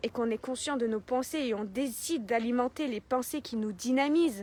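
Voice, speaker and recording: Loud and animated, a woman speaks at a moderate pace in a high pitch with ordinary pitch variation. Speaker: life coach. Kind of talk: motivational talk. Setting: live video stream.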